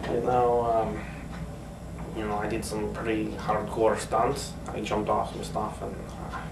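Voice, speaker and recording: A man's voice at a fairly slow pace, with noticeable background noise. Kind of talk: casual comedic skit talk. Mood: playful, hesitant fillers. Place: home room. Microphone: camera far.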